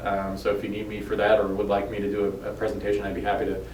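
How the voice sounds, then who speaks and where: A man with an American accent at a very fast pace, with noticeable background noise and audible room echo. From New York. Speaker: police officer. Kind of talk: informational video address to residents. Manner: casual, with frequent fillers.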